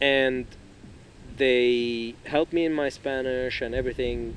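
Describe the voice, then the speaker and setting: A man's medium-pitched voice with an Arabic accent and fairly even intonation, set against noticeable background noise. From Lebanon. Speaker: podcast guest. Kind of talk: casual chat.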